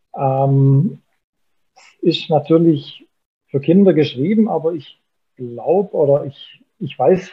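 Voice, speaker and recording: Very slowly, a man speaks in a fairly high voice, stopping for long, frequent pauses. His pitch varies in an ordinary way. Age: 40s. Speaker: finance journalist. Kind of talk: casual chat.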